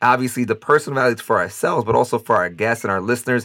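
A man with a bright, sharp tone and medium pitch talks at a very fast pace with ordinary pitch variation, in a very clean recording with a silent background. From US, Dominican heritage. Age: 30s. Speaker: podcast host. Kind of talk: casual chat.

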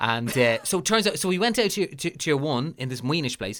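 Bright and sharp in tone, this voice moves at a fairly quick pace with very wide swings in pitch. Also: man. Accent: Dublin. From Ireland, Lucan, Dublin. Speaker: podcast host. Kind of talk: casual chat. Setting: remote call.

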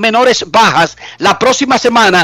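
A raised, projected voice with ordinary pitch variation. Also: man. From Dominican Republic. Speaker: sports journalist, radio co-host. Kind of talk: radio sports talk show. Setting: remote line from US into radio show.

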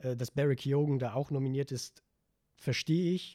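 A somewhat breathy man's voice of medium pitch and dark, mellow tone, with fairly even intonation and a dry, close sound with no echo. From Vorarlberg, western Austria. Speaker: film student, podcast guest. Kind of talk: casual chat.

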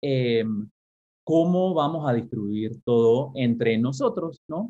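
A man speaks with a medium pitch. His pitch varies in an ordinary way. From Caribbean and Panama, raised partly abroad. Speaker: professor of education policy. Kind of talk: interview. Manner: halting, many repeated words.

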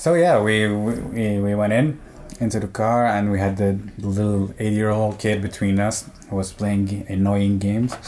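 A man with a Quebec accent speaks in a fairly low pitch at a fairly slow pace. His loudness stays very even over noticeable background noise. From Algeria, raised in Montreal. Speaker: traveler. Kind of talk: interview.

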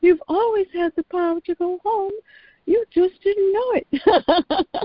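The put-on character voice sits at an extremely high pitch. It moves at a fairly slow pace. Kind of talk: soft, kindly tone. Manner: sweet, gentle.

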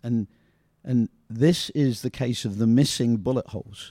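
A man with a Northumbrian accent speaks at a fairly slow pace in a medium pitch, with ordinary pitch variation and a dry, close sound with no echo. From northern England, Ashington, Northumberland. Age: 60s. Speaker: youth soccer coach. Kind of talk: casual chat.

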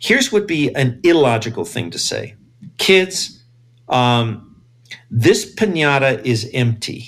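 The speaker goes at a very slow pace with long, frequent pauses. The voice is somewhat breathy, with very wide pitch swings. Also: man. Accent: American. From US, East Los Angeles. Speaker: science journalist and astrophysicist. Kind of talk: casual interview. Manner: animated.

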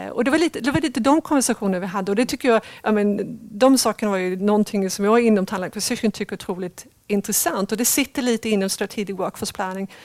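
Very fast woman's speech, fairly high in pitch with ordinary pitch variation and hardly any pauses, in a very clean recording with a silent background and a dry, close sound with no echo. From Sweden. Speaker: talent acquisition leader. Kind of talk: interview.

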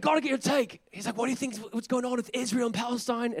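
In a put-on character voice, a man talks very fast at an extremely high pitch, gravelly and guttural, with fairly even intonation. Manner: casual, chatty.

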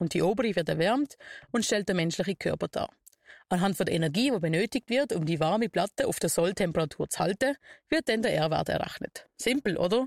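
Recorded dry and close with no echo, in a very clean recording with a silent background, a woman talks at a fairly quick pace. She has an unremarkable speaking voice of medium pitch with lively intonation. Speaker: scout radio show host. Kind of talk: scripted segment presentation. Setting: outdoor broadcast bus in city square.

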